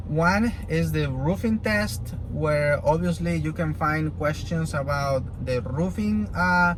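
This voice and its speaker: With a Spanish accent and medium pitch, a man speaks in very wide pitch swings, with audible room echo and noticeable background noise. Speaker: roofing contractor and vlogger. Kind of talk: tutorial. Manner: halting, many fillers.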